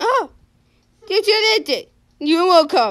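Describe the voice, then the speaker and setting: A woman uses a put-on character voice at an extremely high pitch. She speaks at a fairly slow pace. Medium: fan dub. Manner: cheerful, coaxing, insistent.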